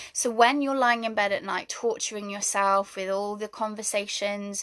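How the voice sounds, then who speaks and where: A medium-pitched woman with a British accent and monotone, flat intonation. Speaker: spiritual wellness coach. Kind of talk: livestream talk. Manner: fast.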